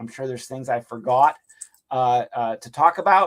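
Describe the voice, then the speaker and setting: With ordinary pitch variation, the man talks in a medium pitch. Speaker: college literature instructor. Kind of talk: recorded course introduction lecture. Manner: fast; casual, filler-heavy.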